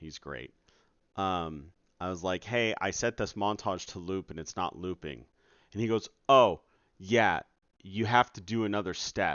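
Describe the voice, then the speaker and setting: Speaking fairly slowly, a man is heard. His pitch shifts only in an ordinary way. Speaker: game developer streamer. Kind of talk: casual live stream. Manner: trying to be quiet.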